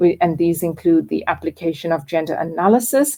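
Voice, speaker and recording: A dark, mellow tone marks this woman's voice, pitched fairly low. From South Africa. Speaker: course instructor. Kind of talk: recorded lecture. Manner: hesitant, with repetitions and fillers.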